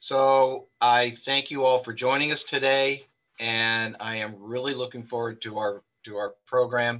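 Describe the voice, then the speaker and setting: The background is quiet. A man speaks at a fairly slow pace. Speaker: webinar moderator and publisher. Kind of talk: webinar moderation. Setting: video call. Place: home room. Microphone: video call.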